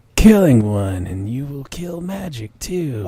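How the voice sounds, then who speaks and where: A put-on character voice, husky and breathy, moves at a fairly slow pace. Its pitch swings very widely. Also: man, medium pitch for a man. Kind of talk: comic fanfiction dramatic reading. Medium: read story. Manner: slow, solemn.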